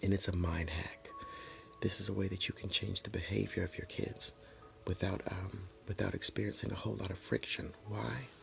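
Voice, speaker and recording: A man whispers at a moderate pace. Noticeable background noise sits behind him. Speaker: motivational vlogger. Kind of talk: motivational monologue. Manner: whispering.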